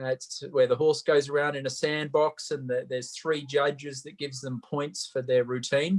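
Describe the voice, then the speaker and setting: His pitch sits fairly high. He talks with an Australian accent. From Australia, Sydney. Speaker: Olympic equestrian athlete. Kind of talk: interview. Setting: video call.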